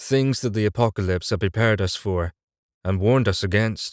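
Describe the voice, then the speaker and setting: An ordinary speaking voice moves at a fairly quick pace with ordinary pitch variation. The sound is dry and close with no echo, in a very clean recording with a silent background. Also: man, fairly low pitch for a man. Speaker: voice actor / audiobook narrator. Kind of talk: audiobook narration, litrpg fantasy. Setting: studio recording. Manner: first-person storytelling, serious, tense.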